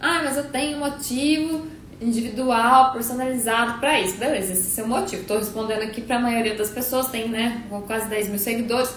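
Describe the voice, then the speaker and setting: A woman speaks at a fairly quick pace. Audible room echo and noticeable background noise surround her voice. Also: fairly high pitch for a woman, ordinary pitch variation. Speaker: nutritionist. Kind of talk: live stream Q&A. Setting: live stream. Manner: fast.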